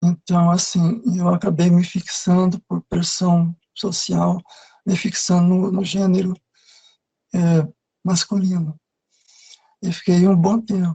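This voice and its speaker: At a very slow pace with long, frequent pauses, a woman speaks in a medium pitch with a somewhat breathy, dark, mellow tone and monotone, flat intonation, the sound dry and close with no echo. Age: 60s. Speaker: retired air force servicewoman. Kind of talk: interview. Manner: halting.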